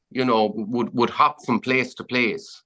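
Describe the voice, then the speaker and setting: A man speaks with an Irish accent in a bright, sharp tone. His pitch swings very widely. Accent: Irish (Clare). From County Clare, Ireland. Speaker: fly fishing guide. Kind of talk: podcast interview answer. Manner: casual, chatty.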